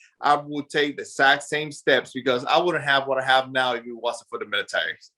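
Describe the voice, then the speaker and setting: A man with a Spanish accent, animated and bright, with a sharp tone. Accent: Spanish accent, still noticeable. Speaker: army veteran and business owner. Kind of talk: interview.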